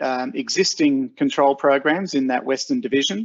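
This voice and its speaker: The background stays quiet. A man talks over it. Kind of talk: webinar presentation. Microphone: video call.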